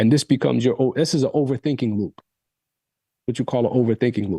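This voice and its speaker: Against a quiet background, a man with a dark, mellow tone talks at a very fast pace, the sound dry and close with no echo. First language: Arabic. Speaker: coach. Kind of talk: workshop talk.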